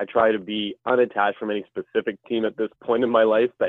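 This is an ordinary speaking voice with a Canadian accent. The pace is fairly quick. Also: man. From Canada, Ottawa area. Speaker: hockey analytics writer. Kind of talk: casual chat.

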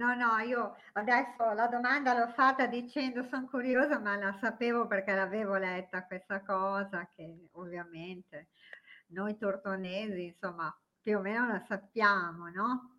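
At a fairly slow pace, the speaker delivers words in a bright, sharp tone. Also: woman, medium pitch for a woman, ordinary pitch variation. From Tortona, Piedmont, northern Italy. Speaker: podcast co-host. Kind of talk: casual chat.

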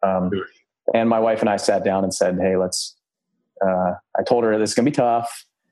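A man with a dark, mellow tone speaks fairly quickly at a fairly low pitch, with fairly even intonation and very even loudness. He leaves long, frequent pauses against a quiet background. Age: 30s. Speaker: real estate investor and military pilot. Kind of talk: interview.

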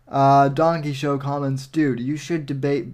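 Music plays in the background as a man speaks at a medium pitch. His pace is fairly slow and his intonation monotone and flat. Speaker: podcast host. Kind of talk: casual livestream commentary. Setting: livestream.

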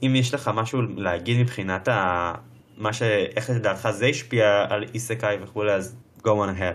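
A man talks in an unremarkable speaking voice at a fairly low pitch and moderate pace, with ordinary pitch variation and very even loudness. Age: 20s. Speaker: podcast host. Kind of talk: casual chat.

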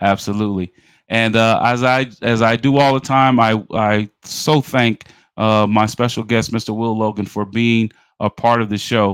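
A man's plain, everyday voice in an American accent, medium in pitch, at a moderate pace with fairly even intonation, dry and close with no echo. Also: very clean recording, silent background. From New York City (Bronx). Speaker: podcast host and athletics administrator. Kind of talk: interview.

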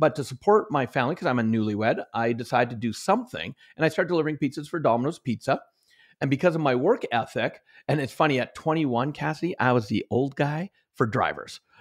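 Very fast and full of lively intonation, a man speaks at a fairly high pitch. The recording is very clean, with a silent background. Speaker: author and motivational trainer. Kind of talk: interview. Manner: high energy.

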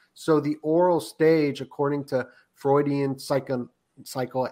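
A man speaks in a plain, everyday voice. His pitch is fairly high, and his pace is moderate. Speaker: podcaster. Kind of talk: casual chat. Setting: video call.

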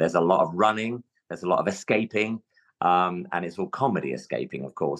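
A man talks with a London accent. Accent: London English, can switch to RP. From London, England. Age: 50s. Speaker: stage actor. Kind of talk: casual interview chat. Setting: video call from dressing room.

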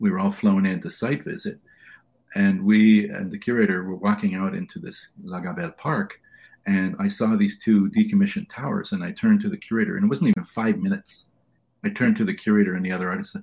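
A man's fairly high, somewhat breathy voice at a very fast pace, with very wide pitch swings. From Toronto east end, Canada (immigrant child). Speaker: sculptor and professor. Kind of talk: interview.

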